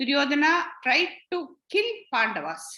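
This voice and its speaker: A woman with a bright, sharp tone uses a raised, projected voice and very wide pitch swings. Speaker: spiritual teacher. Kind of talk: lecture. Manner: halting.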